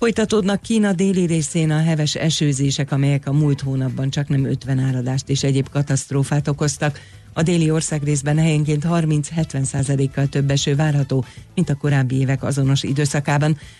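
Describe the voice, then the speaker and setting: Here a man with an unremarkable speaking voice talks at a fairly high pitch and a moderate pace. His loudness is very even and his intonation fairly even. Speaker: newsreader. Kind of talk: news reading. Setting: radio studio.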